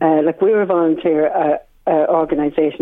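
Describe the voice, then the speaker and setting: The speaker has an Irish accent. The pace is moderate. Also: woman. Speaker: swim instructor. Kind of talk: radio interview. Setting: phone call.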